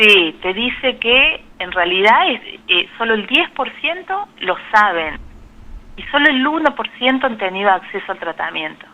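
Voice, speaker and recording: The speaker has a strong Córdoba accent and a fairly slow pace, with very wide pitch swings. Noticeable background noise runs underneath. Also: woman, fairly high pitch for a woman. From Argentina, Córdoba. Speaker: biologist and Chagas researcher. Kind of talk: radio interview. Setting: phone call.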